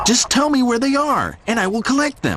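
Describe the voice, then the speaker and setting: A man puts on a character voice at an extremely high pitch. He keeps a moderate pace and very even loudness. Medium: read story. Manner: eager, hurried.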